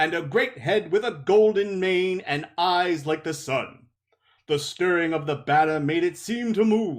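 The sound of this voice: Quiet surrounds this recording. An unforced reading voice carries the words.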